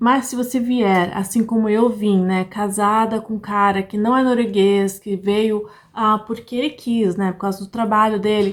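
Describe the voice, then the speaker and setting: Speaking at a fairly slow pace and a fairly high pitch, a woman leaves hardly any pauses. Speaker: vlogger. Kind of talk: casual vlog talk. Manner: animated.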